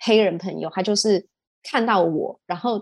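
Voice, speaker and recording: In a Taiwanese accent, a woman speaks with a medium pitch, ordinary pitch variation and a dark, mellow tone. The background is quiet and the sound is dry and close, with no echo. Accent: Taiwanese Mandarin. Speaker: e-commerce entrepreneur. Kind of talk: casual interview.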